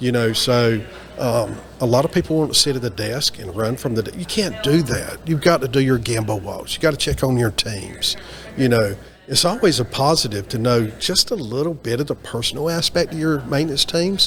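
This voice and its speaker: Man with a slight Southern US accent, fairly quick pace and lively intonation, noticeable background noise. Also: medium pitch for a man. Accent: slight Southern twang. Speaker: maintenance and reliability professional. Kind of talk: interview. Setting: onsite at a trade event.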